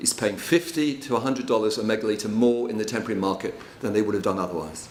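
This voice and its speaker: Speaking at a very fast pace with ordinary pitch variation, a man is heard with audible room echo and noticeable background noise. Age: 60s. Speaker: water and land management consultant. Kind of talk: conference presentation.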